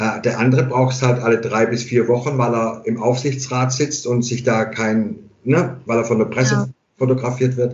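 A man speaks at a moderate pace in a medium-pitched, somewhat breathy voice. His intonation is fairly even, and the room echo is audible. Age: 50s. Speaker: hairdresser and barber. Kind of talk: casual interview conversation. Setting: remote internet call from home.

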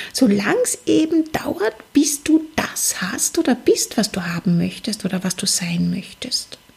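A woman speaks at a fairly slow pace in a fairly high pitch, with very wide pitch swings. Noticeable background noise is present. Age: 40s. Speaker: psychologist and life coach, podcast host. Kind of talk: solo motivational podcast monologue.

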